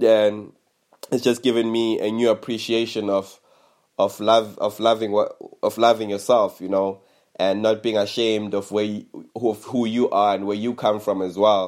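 A man with a fairly low voice speaks in a flat monotone. The recording is very clean with a silent background. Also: moderate pace. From South Africa, Eastern Cape. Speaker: vlogger. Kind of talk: personal vlog monologue. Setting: at family home during lockdown. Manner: hesitant, many fillers and repetitions.

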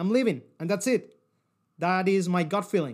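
Speaking at a moderate pace in a non-native accent, a man with a high voice sounds animated on a very clean recording with a silent background. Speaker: podcast host. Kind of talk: motivational talk.

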